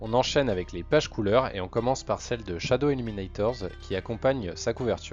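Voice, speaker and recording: A man with a medium pitch and ordinary pitch variation, at a fairly quick pace with hardly any pauses, music in the background. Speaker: manga news youtuber. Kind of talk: casual talk to camera, manga ranking review.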